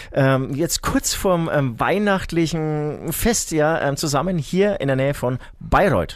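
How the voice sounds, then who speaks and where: A man speaks at a fairly slow pace with a fairly high pitch. His pitch varies in an ordinary way, and his loudness stays very even. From Franconia, Bavaria (Herzogenaurach). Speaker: rock musician. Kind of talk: casual chat.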